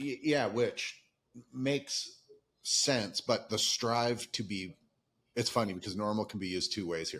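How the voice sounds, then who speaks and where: A man with a plain, everyday voice talks at a fairly slow pace, his pitch medium and its variation ordinary. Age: 50s. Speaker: podcast host, former pro cyclist. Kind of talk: casual interview conversation.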